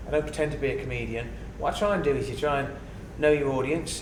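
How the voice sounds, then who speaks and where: Speaking at a very fast pace in a southern English accent, a man is heard with audible room echo and noticeable background noise. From Kent, southern England. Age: 50s. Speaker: journalist and podcaster. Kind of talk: casual interview chat. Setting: podcast recording.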